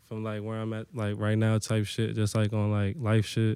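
On a very clean recording with a silent background, a man of medium pitch talks at a fairly quick pace. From Hampton, Virginia. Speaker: rapper. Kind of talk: casual chat.

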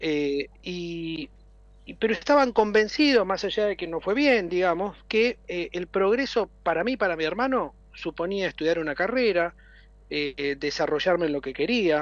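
Against a quiet background, a man with a high-pitched voice and lively intonation speaks at a fairly slow pace. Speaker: city government official. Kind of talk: interview. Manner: halting, many fillers.

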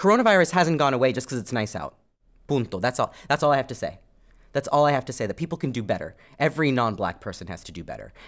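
Very fast and lively in intonation, a man talks with vocal fry at a fairly high pitch. The recording is very clean, with a silent background. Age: 30s. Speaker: podcast co-host. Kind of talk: casual chat.

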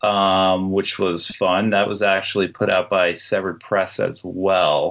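With a very deep, low voice, a man talks at a fairly slow pace in a flat monotone, hardly pausing and keeping his loudness very even. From New Jersey, Jersey Shore. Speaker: horror author. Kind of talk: casual interview chat.

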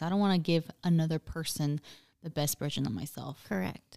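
The voice has a dark, mellow tone and fairly even intonation, going at a very fast pace in a very clean recording with a silent background and a dry, close sound with no echo. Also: woman. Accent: Spanish. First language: Spanish. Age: 20s. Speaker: podcast co-host. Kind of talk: casual chat.

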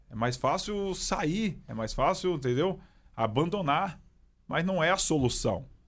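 On a very clean recording with a silent background, a man uses vocal fry while his pitch swings very widely. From São Paulo, east side (Itaim Paulista). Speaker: police sergeant and pastor. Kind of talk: personal testimony in casual interview.

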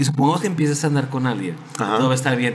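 A man's speech comes through with audible room echo and noticeable background noise. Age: 30s. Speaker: podcast guest. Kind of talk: casual chat.

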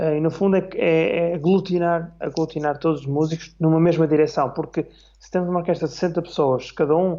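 A man with a high voice talks at a moderate pace, keeping his intonation fairly even. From northern Portugal, Minho. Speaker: orchestra conductor and clarinetist. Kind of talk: casual interview on livestream. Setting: online live stream.

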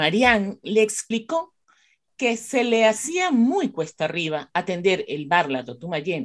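A woman talks at a fairly slow pace with medium pitch. Her intonation is lively.

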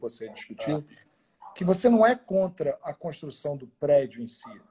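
His tone is dark and mellow, and his voice somewhat breathy. The man talks at a moderate pace with very wide pitch swings. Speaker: podcast host, former radio presenter. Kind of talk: casual interview. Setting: at home during quarantine. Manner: animated.

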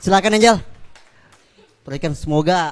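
A man talks at a fairly quick pace with lively intonation. He has a plain, everyday voice. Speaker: event emcee. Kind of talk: event moderation. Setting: stage with audience.

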